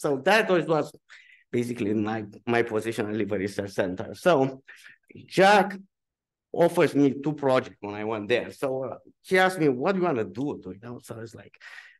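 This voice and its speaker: Against a quiet background, a man with a Romanian accent talks at a fairly quick pace with lively intonation. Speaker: physician researcher. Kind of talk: symposium talk. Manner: halting.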